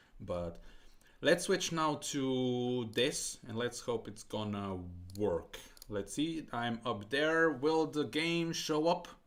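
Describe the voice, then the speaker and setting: Delivered at a very slow pace with lively intonation, the speech carries a non-native accent. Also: man, medium pitch for a man. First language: not English. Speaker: streamer. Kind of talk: casual live stream chat. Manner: halting.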